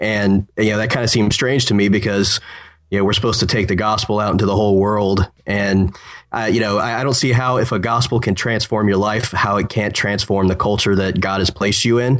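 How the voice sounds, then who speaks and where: A fairly low-pitched male voice at a fairly quick pace, flat and monotone, with very even loudness. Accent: American. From Ohio. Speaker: political writer. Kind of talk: casual chat.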